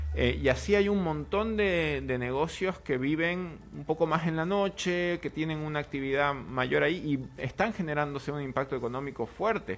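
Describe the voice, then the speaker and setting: In an unremarkable speaking voice, a man with fairly high pitch talks at a moderate pace with ordinary pitch variation and hardly any pauses. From Bolivia. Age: 30s. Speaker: political analyst. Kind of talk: studio interview. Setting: studio.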